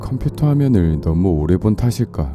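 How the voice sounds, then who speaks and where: A man speaks at a fairly slow pace in a very deep, low pitch with very wide pitch swings. Music plays in the background. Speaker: audiobook reader. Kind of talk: story reading.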